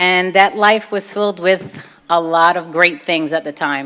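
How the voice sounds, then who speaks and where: In a Brooklyn accent, a woman with a bright, sharp tone and fairly low pitch speaks at a moderate pace. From Brooklyn, New York (Puerto Rican family). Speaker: convert speaker, former fitness trainer. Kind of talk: personal testimony talk. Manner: casual, conversational.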